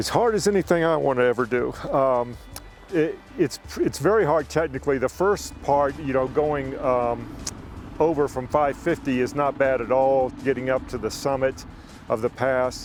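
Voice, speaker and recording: Music plays behind a man who speaks at a moderate pace and medium pitch with ordinary pitch variation. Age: 60s. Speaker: motorcycle rider. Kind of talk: casual explainer talk to camera.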